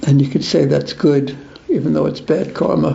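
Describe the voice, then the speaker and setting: A man with an American accent speaks over noticeable background noise, with audible room echo. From US, New York (Brooklyn). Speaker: spiritual teacher. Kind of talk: religious class with Q&A.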